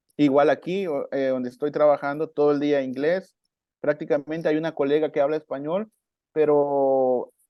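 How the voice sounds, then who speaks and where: A Chiapas accent in a monotone, flat intonation. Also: man, fairly high pitch for a man, moderate pace. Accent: Mexican Chiapas coastal accent, still has it. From Mexico, coast of Chiapas. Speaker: marimba player and music teacher. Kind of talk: podcast interview.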